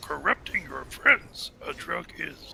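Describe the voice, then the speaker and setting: A croaky, put-on character voice from a man at a fairly slow pace. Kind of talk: inverted word order.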